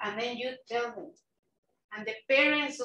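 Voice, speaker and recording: A woman with a Mexican accent talks at a moderate pace, her fairly high voice bright and sharp in tone. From Mexico City, Mexico. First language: Spanish. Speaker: nonprofit executive director, former bilingual teacher. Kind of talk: invited talk at a club meeting. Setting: club meeting, partly online.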